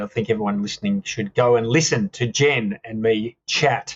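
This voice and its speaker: A man speaks with an Australian accent and a medium pitch. His voice is somewhat breathy, with ordinary pitch variation. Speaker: author and speaker. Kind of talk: casual chat. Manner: enthusiastic.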